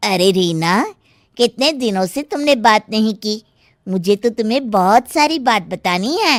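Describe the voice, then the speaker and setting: A cartoonish character voice moves along at a fairly slow pace. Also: female-sounding voice, fairly high pitch for a woman. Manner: chatty, confiding.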